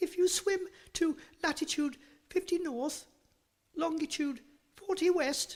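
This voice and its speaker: This put-on character voice is pitched extremely high. It moves at a fairly slow pace, with long, frequent pauses. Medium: read story. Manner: sly, flattering.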